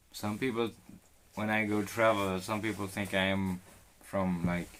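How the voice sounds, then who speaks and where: In a Swedish accent, a man with a very deep, low pitch speaks in a flat monotone at a moderate pace, on a very clean recording with a silent background. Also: long, frequent pauses. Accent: Swedish accent, noticeable. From Sweden. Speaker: live streamer renovating a boat. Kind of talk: casual live stream chat. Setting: on a boat, live stream. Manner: laid-back.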